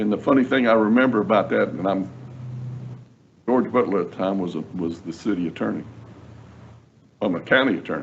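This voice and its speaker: A man's fairly quick speech with vocal fry, lively intonation and long, frequent pauses. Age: 70s. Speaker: attorney, job candidate. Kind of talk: job interview. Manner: halting, repeats words.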